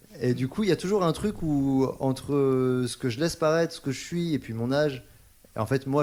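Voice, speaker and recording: A medium-pitched man gets through his words at a fairly quick pace. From Paris. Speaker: singer-songwriter. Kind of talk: interview. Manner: hesitant, many fillers.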